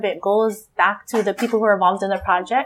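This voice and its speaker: A woman in a Hawaiian accent, fairly high-pitched and very fast, on a very clean recording with a silent background. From Hawaii, Wai'anae district (Oahu). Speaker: Hawaiian language nonprofit founder. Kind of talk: casual interview. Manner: animated, laughs often.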